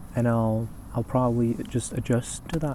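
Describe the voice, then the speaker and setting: The man's voice is medium in pitch, somewhat breathy, and has a dark, mellow tone. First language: not English. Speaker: poetry reader and video host. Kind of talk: casual chat to camera between poetry readings. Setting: outdoors in an empty parking lot at night. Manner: relaxed, halting with fillers; soft, calm.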